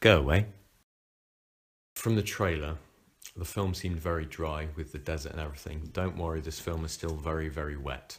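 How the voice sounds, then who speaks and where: A man with a very deep, low, somewhat breathy voice talks at a fairly quick pace with fairly even intonation and long, frequent pauses. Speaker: podcast co-host. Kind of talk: casual chat. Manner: monotone.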